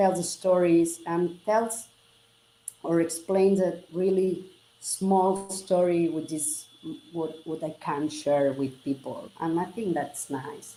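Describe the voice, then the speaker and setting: With a Catalan Spanish accent, a woman speaks at a very slow pace in a dark, mellow tone with ordinary pitch variation. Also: fairly low pitch for a woman. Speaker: generative artist. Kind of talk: interview. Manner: halting.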